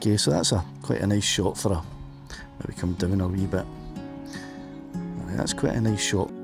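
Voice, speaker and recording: With music in the background, a man speaks in a Scottish accent at a very deep, low pitch. His pitch varies in an ordinary way, and he leaves long, frequent pauses. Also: moderate pace. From Scotland. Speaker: drone pilot. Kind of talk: casual commentary while flying a drone. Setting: outdoors.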